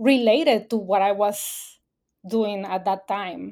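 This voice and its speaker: Speaking at a very slow pace, a woman with a Spanish accent and a fairly high voice comes through in a very clean recording with a silent background. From Mexico, Baja California Sur. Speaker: environmental communications specialist. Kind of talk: interview. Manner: hesitant, many fillers.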